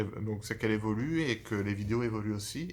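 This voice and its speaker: A man's fairly low, somewhat breathy voice with ordinary pitch variation, on a very clean recording with a silent background. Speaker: YouTuber. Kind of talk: casual channel introduction. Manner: fast; halting, stammering.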